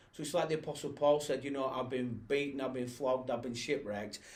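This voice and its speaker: In a Lancashire accent, the voice comes through with audible room echo. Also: man. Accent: northern English (Bolton). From northern England, Bolton. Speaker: pastor. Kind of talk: casual chat.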